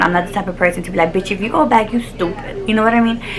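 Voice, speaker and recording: A woman speaks in an animated tone. There is noticeable background noise. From Texas (Dallas), Mexican-American family. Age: 20s. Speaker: YouTuber. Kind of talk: casual chat.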